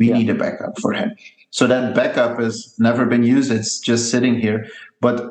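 Medium in pitch, this man speaks with monotone, flat intonation. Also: moderate pace. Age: 30s. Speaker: skate company founder. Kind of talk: interview. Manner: hesitant, many fillers and repetitions.

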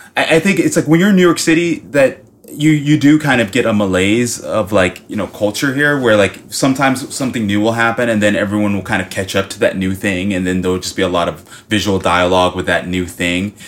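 A man with an American accent talks very fast at a fairly low pitch with lively intonation, over noticeable background noise. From US South, Miami, Florida. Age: 30s. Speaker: painter. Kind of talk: casual chat.

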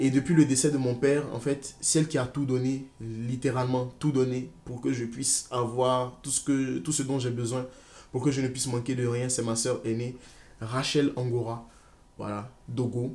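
Speaking at a fairly slow pace, a man with a medium pitch has a dark, mellow tone. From Ivory Coast. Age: 20s. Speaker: student vlogger. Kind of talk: personal testimony vlog. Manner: animated.

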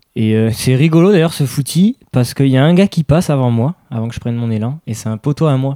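The voice has a dark, mellow tone and ordinary pitch variation, moving at a fairly quick pace. The sound is dry and close, with no echo. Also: man. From Aix-en-Provence, southern France (childhood partly Barcelona). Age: young. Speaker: skateboarder. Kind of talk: casual chat.

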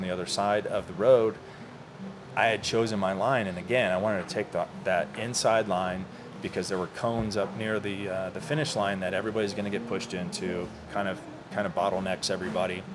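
A fairly low-pitched man with an American accent and ordinary pitch variation, over noticeable background noise. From US South, Orlando, Florida. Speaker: cyclist, business owner. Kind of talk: casual chat. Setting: coffee shop.

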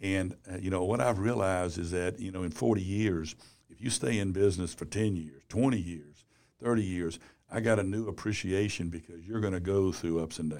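A man speaks at a fairly quick pace with a very deep, low pitch and ordinary pitch variation. The recording is very clean, with a silent background. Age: 60s. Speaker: business journalist and former publisher. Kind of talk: interview.

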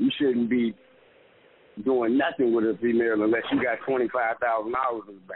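A man with a medium-pitched voice talks at a fairly quick pace in a flat, monotone delivery over noticeable background noise. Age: 20s. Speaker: comedian. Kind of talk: casual chat.

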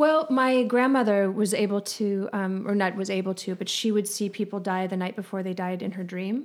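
A woman with a medium-pitched voice speaks at a moderate pace with ordinary pitch variation and hardly any pauses. Noticeable background noise sits behind her. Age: 40s. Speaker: psychic. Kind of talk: casual chat.

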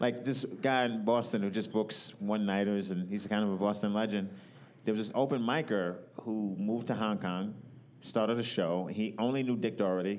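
With an American accent, a man speaks at a moderate pace and fairly low pitch with fairly even intonation, and audible room echo is present. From New York. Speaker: comedian. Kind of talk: casual chat. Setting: live at a comedy festival.

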